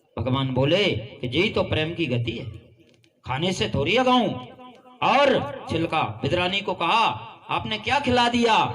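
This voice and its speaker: With very wide pitch swings and long, frequent pauses, a man speaks at a high pitch over noticeable background noise. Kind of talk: devotional kathā narration of a Krishna story.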